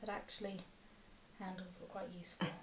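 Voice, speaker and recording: Dark and mellow, the woman's voice is also somewhat breathy. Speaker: mudlarking video host. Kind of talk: casual chat.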